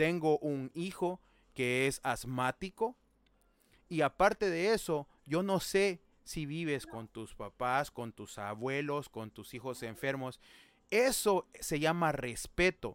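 On a very clean recording with a silent background and a dry, close sound with no echo, a man speaks at a very slow pace and a fairly high pitch. His intonation is lively, and his loudness swings widely. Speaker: streamer hosting discussion. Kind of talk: casual chat.

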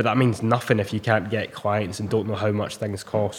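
Fairly low in pitch, a man speaks with a Scottish accent. His pace is fairly quick. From Scotland, Ayr. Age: 20s. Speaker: personal trainer. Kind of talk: casual chat.

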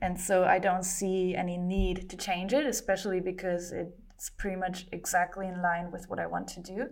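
This woman speaks with a German accent. Her pitch is medium. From Germany. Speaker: comic artist and entrepreneur. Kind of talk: casual interview. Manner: halting, many repetitions and fillers.

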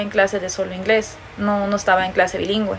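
Noticeable background noise sits under a woman talking at a fairly quick pace in a medium pitch. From Peru, with early US childhood. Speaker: podcast co-host. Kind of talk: casual chat.

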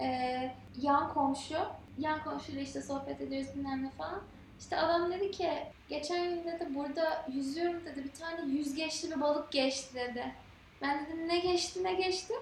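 A woman's high voice at a moderate pace, with ordinary pitch variation and audible room echo. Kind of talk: casual chat. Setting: vacation home in Antalya.

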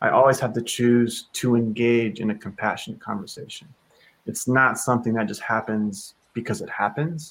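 A man with an American accent has an ordinary speaking voice, keeping a moderate pace and ordinary pitch variation. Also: medium pitch for a man. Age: 30s. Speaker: leadership coach and author. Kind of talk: casual chat.

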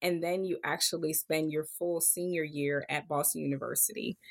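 In an American accent, this is an ordinary speaking voice with fairly even intonation at a moderate pace. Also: woman, very clean recording, silent background. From Pennsylvania, Harrisburg. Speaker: physician and medical school admissions leader. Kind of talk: interview.

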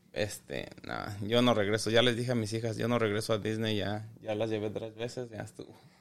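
A man speaks at a fairly quick pace with a fairly low pitch, a flat monotone delivery, hardly any pauses and audible room echo. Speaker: podcast co-host. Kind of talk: casual chat. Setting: home garage.

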